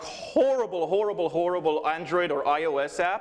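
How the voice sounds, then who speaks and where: The speaker uses lively intonation, with noticeable background noise in the recording. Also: man. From Israel. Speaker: security researcher. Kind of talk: conference talk. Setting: stage with audience. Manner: fast.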